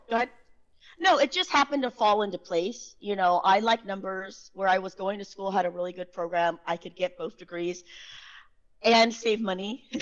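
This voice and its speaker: Ordinary pitch variation and a moderate pace from a woman with a medium-pitched voice. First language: not English. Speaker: sales engineer, tax professional. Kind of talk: podcast interview. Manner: animated.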